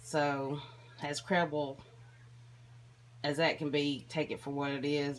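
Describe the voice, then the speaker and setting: A woman speaks in a very deep, low voice with a slight country accent. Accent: slight country twang. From Tennessee. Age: 30s. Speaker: vlogger sharing mental health experience. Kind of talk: personal vlog monologue.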